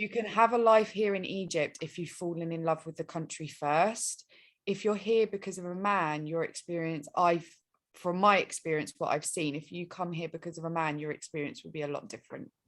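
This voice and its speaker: Against a quiet background, a woman with an English accent talks at a fairly quick pace in a fairly low voice, with ordinary pitch variation and big swings in loudness. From England. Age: 20s. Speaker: relationship mentor and life coach. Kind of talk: podcast interview.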